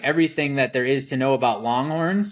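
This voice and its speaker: A man talks at a fairly quick pace with fairly even intonation. The recording is very clean, with a silent background. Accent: American. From Wisconsin. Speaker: rancher. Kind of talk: podcast interview.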